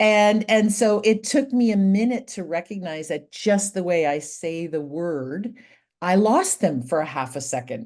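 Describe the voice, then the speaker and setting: With a Canadian accent, a woman talks at a fairly slow pace in an unremarkable speaking voice with lively intonation. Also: medium pitch for a woman. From Canada. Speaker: professional speaker. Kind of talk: interview.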